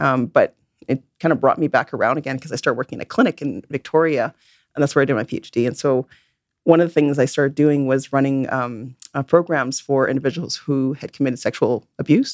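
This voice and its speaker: A woman with a western Canadian accent, very deep and low in pitch, talking at a very fast pace with fairly even intonation, in a dry, close sound with no echo. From Vancouver, western Canada. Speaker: forensic psychologist and professor. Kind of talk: interview. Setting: studio. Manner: halting, frequent repetitions.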